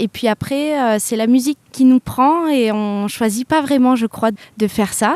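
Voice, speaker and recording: The pitch moves in an ordinary way. The sound is dry and close, with no echo. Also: woman. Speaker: singer and pianist. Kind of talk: interview answer.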